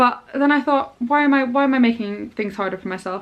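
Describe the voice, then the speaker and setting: A woman is speaking. Her intonation is lively. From Scotland, grew up abroad. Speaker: parenting vlogger. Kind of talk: casual vlog talk to camera. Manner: chatty, many fillers.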